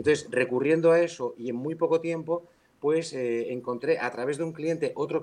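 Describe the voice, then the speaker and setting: An ordinary speaking voice from a man, with ordinary pitch variation and a fairly quick pace. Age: 50s. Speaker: building surveyor and builder. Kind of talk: interview; role-play sales call.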